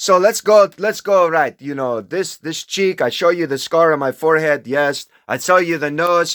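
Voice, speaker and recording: In a very clean recording with a silent background, a man speaks in an animated tone, the sound dry and close with no echo. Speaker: self-proclaimed religious figure. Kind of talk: casual monologue. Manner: slow when speaking other languages.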